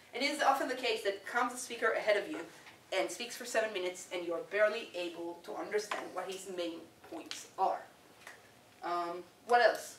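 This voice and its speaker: A woman with a medium-pitched voice talks at a fairly quick pace with lively intonation, big swings in loudness, audible room echo and noticeable background noise. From Israel. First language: Hebrew. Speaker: debating coach. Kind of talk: workshop lecture.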